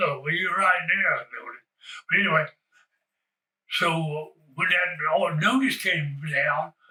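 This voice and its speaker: A man with a high voice and an American accent. He speaks fairly slowly, with ordinary pitch variation and long, frequent pauses. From rural North Carolina. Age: 90s. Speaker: retired baseball player and coach. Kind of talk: oral history interview answer. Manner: rambling, hesitant.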